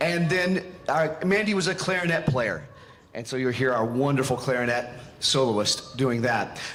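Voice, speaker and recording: A man with a medium pitch talks at a moderate pace with lively intonation. Audible room echo and noticeable background noise fill the recording. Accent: American. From Western North Carolina. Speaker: band conductor. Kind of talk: concert stage announcement. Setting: concert stage with audience.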